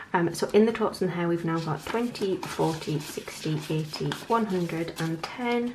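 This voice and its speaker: A woman with a fairly low voice and ordinary pitch variation. Background noise is noticeable. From North East England. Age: 20s. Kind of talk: casual talk to camera.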